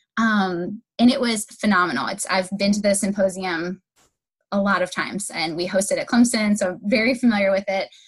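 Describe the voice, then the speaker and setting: A woman talks at a fairly quick pace in a medium pitch. Her voice is somewhat breathy, with ordinary pitch variation. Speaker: guest host of a higher education podcast. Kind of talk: casual. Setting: remote call during pandemic.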